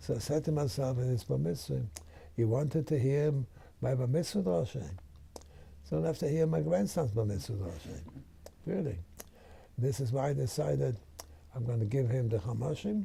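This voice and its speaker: Speaking at a moderate pace with long, frequent pauses, a man uses a medium pitch, a somewhat breathy, dark, mellow tone, and very wide pitch swings. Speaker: rabbi. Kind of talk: interview answer.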